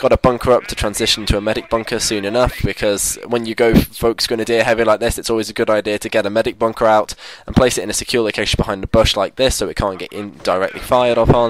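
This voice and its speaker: A man rattles along very fast with hardly any pauses, in a flat, monotone voice of medium pitch. Noticeable background noise sits behind him. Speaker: gaming commentator. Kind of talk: gameplay commentary.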